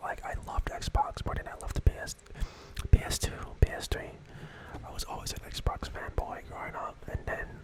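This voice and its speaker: Whispering at a fairly quick pace, the speaker leaves long, frequent pauses over noticeable background noise. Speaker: ASMR creator. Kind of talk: ASMR gaming ramble. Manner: soft-spoken.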